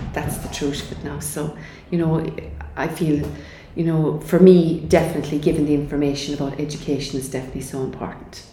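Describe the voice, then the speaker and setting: The speech moves at a fairly quick pace with big swings in loudness, audible room echo and noticeable background noise. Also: woman, very deep, low pitch for a woman. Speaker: cancer charity speaker. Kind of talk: interview. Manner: animated.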